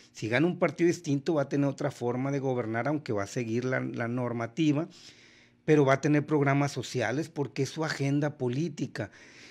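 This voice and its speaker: A man's fairly high voice moves at a fairly quick clip, its pitch varying in an ordinary way. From Sinaloa, Mexico. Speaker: politician. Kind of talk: radio/TV interview. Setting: studio. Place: studio. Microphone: studio mic.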